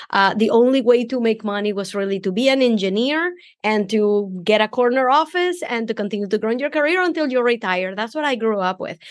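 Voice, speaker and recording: With a Venezuelan accent, the speaker talks at a fairly quick pace with lively intonation and hardly any pauses. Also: woman, fairly high pitch for a woman. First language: Spanish. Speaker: business coach. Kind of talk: podcast interview.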